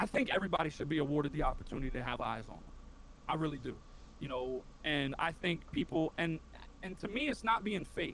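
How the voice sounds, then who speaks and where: A man with an American accent speaks at a very fast pace in a fairly high pitch. His tone is animated and passionate, with lively intonation. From inner city, US. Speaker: Twitch streamer, Marine veteran. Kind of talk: casual interview chat. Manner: animated, passionate.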